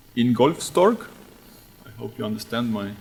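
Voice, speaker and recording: Noticeable background noise sits under a man speaking with an Estonian accent. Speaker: radiation researcher. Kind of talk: conference talk. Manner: halting.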